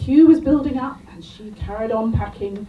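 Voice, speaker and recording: With music in the background, a woman talks at a moderate pace in a high pitch. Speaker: stand-up comedian. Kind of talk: stand-up comedy set to a pub audience. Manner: storytelling, building up the anecdote.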